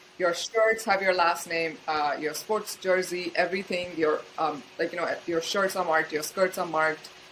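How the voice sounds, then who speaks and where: Noticeable background noise sits behind a woman with a fairly low pitch who talks at a moderate pace with hardly any pauses. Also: fairly even intonation. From India. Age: 30s. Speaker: UN candidate and auditor. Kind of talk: interview. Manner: many fillers.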